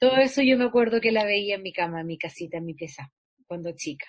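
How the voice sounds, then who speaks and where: A woman's somewhat breathy voice races at a very fast pace, with lively intonation and big swings in loudness. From Chile, Santiago (La Florida). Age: 40s. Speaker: actress. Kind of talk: interview.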